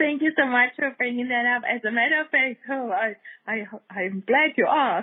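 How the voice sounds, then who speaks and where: The speaker moves at a moderate pace. Pitch variation is ordinary. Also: woman, high pitch for a woman. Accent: German. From Germany. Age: 60s. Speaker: dog rescue nonprofit founder. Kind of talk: interview conversation.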